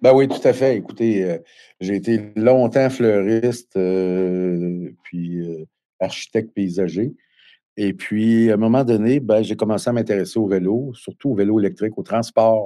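The voice is a man's, dark and mellow in tone. His pitch moves with ordinary variation. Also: fairly low pitch for a man, fairly slow pace. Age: 50s. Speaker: electric bike manufacturer. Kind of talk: interview. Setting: remote link.

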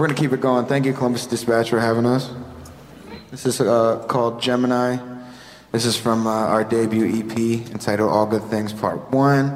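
A man speaks at a moderate pace in a medium pitch, his intonation monotone and flat and his loudness very even, with noticeable background noise. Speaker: band singer. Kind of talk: casual radio interview. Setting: radio studio.

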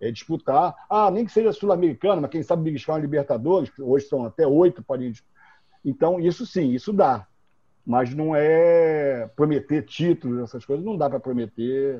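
A man speaks with lively intonation at a moderate pace. His pitch is fairly high. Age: 60s. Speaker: football club presidential candidate. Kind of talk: interview. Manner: halting.

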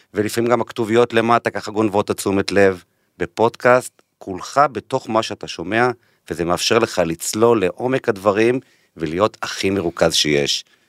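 The speech comes at a fairly slow pace with ordinary pitch variation, in a dry, close sound with no echo, on a very clean recording with a silent background. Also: man. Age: 40s. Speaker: podcast host, marketing executive. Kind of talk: interview; scripted intro. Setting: studio.

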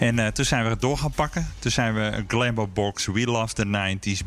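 Pitched fairly low, a man talks at a moderate pace in a plain, everyday voice. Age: 40s. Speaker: beer café owner and brewer. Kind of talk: interview. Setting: empty restaurant in a fort.

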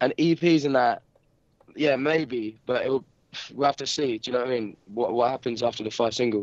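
With a dry, close sound and no echo, a man at a medium pitch talks at a moderate pace with fairly even intonation. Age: young. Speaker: rock band lead singer. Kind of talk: casual interview chat. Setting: remote call. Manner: halting, repetitive filler speech.

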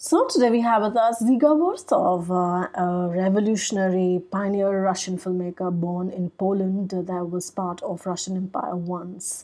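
A woman with an Indian accent speaks at a moderate pace and medium pitch, her tone dark and mellow, her intonation fairly even, with hardly any pauses over a quiet background. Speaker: podcast host. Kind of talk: solo podcast talk on film history. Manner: hesitant, frequent fillers and repetitions.

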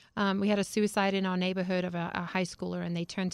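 Against a quiet background, a woman talks at a medium pitch in a monotone, flat intonation. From Zimbabwe (Harare), English-descended family. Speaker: charity founder. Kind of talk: interview. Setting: studio.

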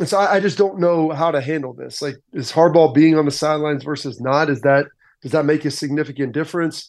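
Against a quiet background, a man talks at a very fast pace with a fairly high pitch and fairly even intonation. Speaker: former football player, analyst. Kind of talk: radio interview. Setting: phone call.

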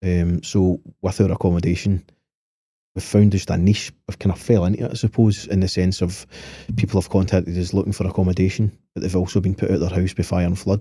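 A man speaks very fast in a very deep, low pitch with a dark, mellow tone. His delivery is monotone and flat, and somewhat breathy. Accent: Lanarkshire. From Scotland, Motherwell. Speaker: property developer. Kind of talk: casual chat. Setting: studio.

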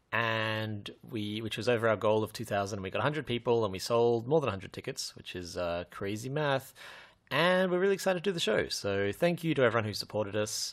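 With lively intonation and a medium pitch, a man talks at a very fast pace on a very clean recording with a silent background. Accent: Australian. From Australia. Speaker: podcast co-host. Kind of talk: casual chat.

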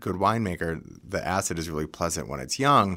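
A man with an American accent, very deep, low pitch, a bright, sharp tone and lively intonation, on a very clean recording with a silent background. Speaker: wine shop partner. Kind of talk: casual interview chat about wine. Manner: animated, enthusiastic.

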